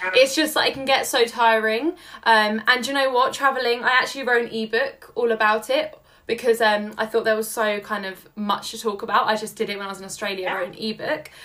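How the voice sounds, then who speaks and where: A woman with a London accent speaks at a fairly quick pace in a fairly high pitch, with ordinary pitch variation and big swings in loudness. Her tone is bright, sharp, enthusiastic and animated. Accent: London English, noticeable. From London, England. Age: 20s. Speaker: social media entrepreneur guest. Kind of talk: casual interview chat. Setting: remote call. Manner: enthusiastic, animated.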